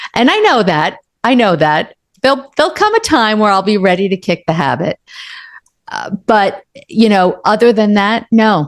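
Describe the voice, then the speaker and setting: A woman with an ordinary speaking voice uses lively intonation at a medium pitch. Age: 60s. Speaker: author and coach. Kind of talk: interview.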